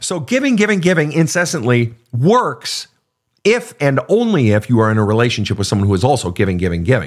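On a very clean recording with a silent background, a man at medium pitch talks at a fairly quick pace in an animated tone with very wide pitch swings. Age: 50s. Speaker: counselor and podcast host. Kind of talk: live Q&A. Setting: studio.

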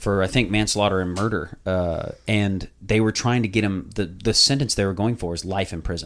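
On a very clean recording with a silent background, a man with a plain, everyday voice and a fairly low pitch speaks at a moderate pace. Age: 30s. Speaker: podcast host. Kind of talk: casual chat.

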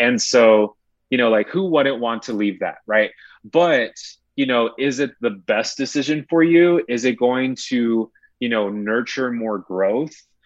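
Against a quiet background, a man with a normal speaking voice talks at a medium pitch and fairly slow pace, with ordinary pitch variation. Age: 20s. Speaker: podcast guest. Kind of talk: casual chat. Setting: home recording in a closet.

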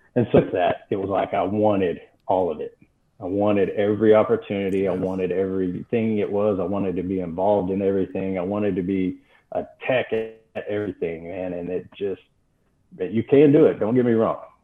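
Intonation remains fairly even. The speaker talks with an American accent. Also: man, fairly low pitch for a man. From Texas, Amarillo. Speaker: firefighter. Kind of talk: podcast interview.

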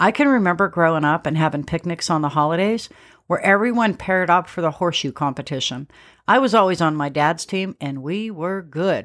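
A woman with an unremarkable speaking voice talks at a moderate pace with lively intonation on a very clean recording with a silent background. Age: 50s. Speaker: homesteading podcast host. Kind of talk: scripted podcast monologue.

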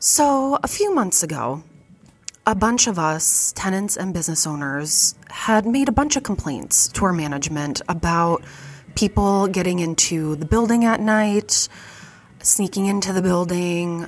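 At a fairly slow pace, a woman talks with an Upper Midwest accent. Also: medium pitch for a woman, lively intonation. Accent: Upper Midwest American. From US Midwest, Fargo, North Dakota. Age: 30s. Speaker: podcast host and vintage shop owner. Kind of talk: casual monologue. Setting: retail shop counter.

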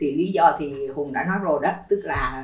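Noticeable background noise runs under this recording. A woman with a very deep, low pitch speaks at a moderate pace. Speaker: education administrator. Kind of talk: casual chat.

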